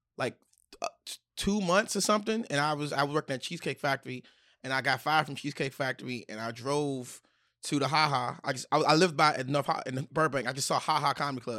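In an American accent, a man with a fairly high pitch and ordinary pitch variation speaks at a very fast pace, in a very clean recording with a silent background and a dry, close sound with no echo. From Washington DC. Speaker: stand-up comedian. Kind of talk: casual chat. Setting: studio.

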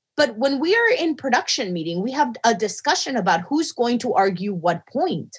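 Loud and high-pitched, a woman talks at a moderate pace with very wide pitch swings. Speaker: mathematician podcast co-host. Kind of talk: casual chat.

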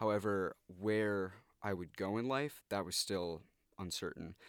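A man with an American accent speaks in a normal speaking voice, fairly low in pitch, with ordinary pitch variation. The recording is very clean and dry, close with no echo, over a silent background. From New York suburbs (Westchester County). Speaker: university student. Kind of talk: casual interview.

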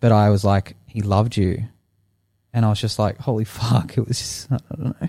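With a dark, mellow tone and a somewhat breathy quality, a man speaks in a fairly low voice at a moderate pace with fairly even intonation, the sound dry and close with no echo. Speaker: podcast co-host. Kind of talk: casual chat.

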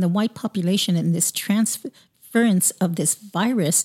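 A woman with a dark, mellow, somewhat breathy tone talks at a moderate pace with ordinary pitch variation, in a very clean, dry, close recording with a silent background and no echo. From US West Coast, Long Beach, California. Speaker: podcast host. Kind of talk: interview.

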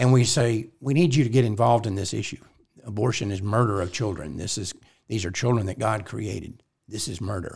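Somewhat breathy and fairly low-pitched, a man talks at a fairly quick pace with ordinary pitch variation in a very clean recording with a silent background. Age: 70s. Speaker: pro-life organization president and podcast host. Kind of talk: casual chat.

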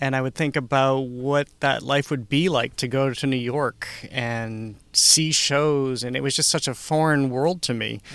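An unremarkable speaking voice, a man with an American accent talks at a medium pitch and a fairly slow pace, with fairly even intonation and hardly any pauses. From Massachusetts (Upton). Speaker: arts and entertainment reporter. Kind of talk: casual interview conversation. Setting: studio.

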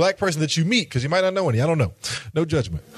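Noticeable background noise around a man's lively intonation. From Knoxville, Tennessee. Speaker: university director. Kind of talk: interactive conference workshop.

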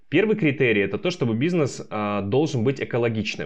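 With a normal speaking voice, a man talks at a fairly quick pace in a medium pitch with lively intonation against a quiet background. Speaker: startup founder. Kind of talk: interview.

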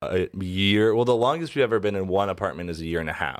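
In an unremarkable speaking voice, a man talks at a fairly quick pace with a fairly low pitch and ordinary pitch variation, on a very clean recording with a silent background. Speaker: producer and guest host. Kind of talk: casual chat. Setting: studio.

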